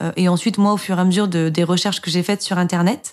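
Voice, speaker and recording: Talking at a very fast pace, a woman uses a medium pitch and fairly even intonation. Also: very clean recording, silent background. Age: 30s. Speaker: mother sharing breastfeeding experience. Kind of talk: personal testimony. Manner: hesitant, many fillers and repetitions.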